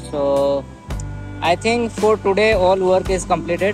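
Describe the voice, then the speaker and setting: A man talks at a very slow pace with ordinary pitch variation, his voice dry with no echo while music plays clearly behind him. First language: not English. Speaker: vlogger. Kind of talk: casual vlog talk to camera. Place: street. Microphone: phone near.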